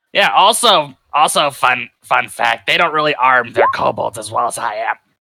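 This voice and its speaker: A man uses a raspy, put-on character voice pitched fairly high. He keeps a moderate pace. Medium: actual play. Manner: crude, rambling, sarcastic.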